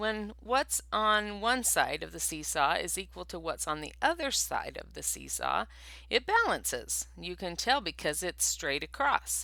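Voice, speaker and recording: A squeaky, put-on character voice at a moderate pace on a very clean recording with a silent background. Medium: read story. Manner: cheerful, helpful.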